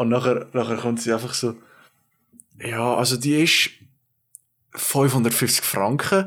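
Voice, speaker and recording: Speaking with a Swiss accent at a very slow pace, a man of medium pitch keeps a very even loudness, ordinary pitch variation, and long, frequent pauses. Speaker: podcast co-host, intern. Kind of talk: casual chat.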